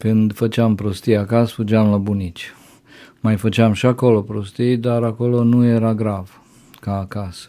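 With a dark, mellow tone, a man speaks at a fairly low pitch and a fairly slow pace, his intonation monotone and flat. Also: quiet background. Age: 50s. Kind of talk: interview testimony.

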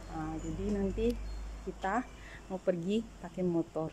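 At a moderate pace, a woman speaks in a somewhat breathy, dark, mellow tone with light background noise. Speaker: cleaning service worker vlogger. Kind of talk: casual vlog chat. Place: home room. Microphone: phone near.

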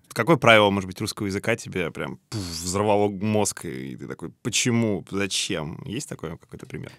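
This man's fairly low voice carries vocal fry, lively intonation and big swings in loudness at a moderate pace with hardly any pauses, recorded dry with no echo against a quiet background. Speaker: podcast host. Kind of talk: interview, casual conversation. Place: studio.

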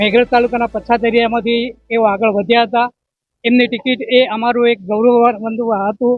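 With music in the background, a man speaks at an extremely high pitch for a man, in very even loudness and monotone, flat intonation. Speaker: retired bank employee, party worker. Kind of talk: street interview at protest.

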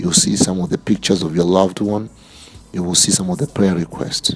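A man with a very deep, low pitch speaks at a moderate pace. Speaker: preacher. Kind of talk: religious address to viewers. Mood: fervent, emotional. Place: open country. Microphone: phone near.

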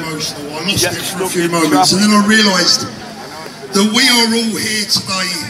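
Crowd noise fills the background as a man speaks in a raised, projected voice at a very fast pace. His pitch is high, with ordinary variation. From Britain. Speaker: rally speaker. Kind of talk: rally speech. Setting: outdoor rally with crowd. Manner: emotional, rousing, crowd-addressing. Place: street.

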